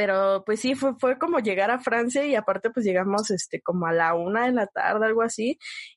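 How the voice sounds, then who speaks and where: An unremarkable speaking voice goes at a fairly quick pace with hardly any pauses, ordinary pitch variation and very even loudness, the sound dry and close with no echo. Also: woman, fairly high pitch for a woman. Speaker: podcast host. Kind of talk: casual chat.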